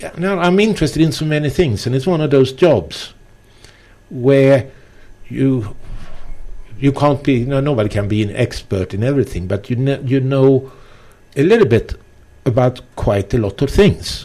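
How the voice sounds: A man with a non-native accent and a dark, mellow tone speaks at medium pitch, using lively intonation broken by long, frequent pauses. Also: moderate pace.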